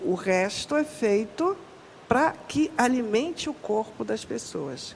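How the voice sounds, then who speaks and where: A woman at a fairly high pitch, very slow pace and very wide pitch swings. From northern Brazil, Pará. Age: 60s. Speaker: Afro-Brazilian religious cook and researcher. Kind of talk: podcast interview.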